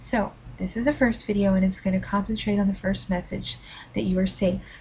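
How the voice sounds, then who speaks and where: A woman's medium-pitched voice with vocal fry, fairly even intonation, very even loudness and a fairly quick pace. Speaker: parenting video creator. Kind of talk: tutorial.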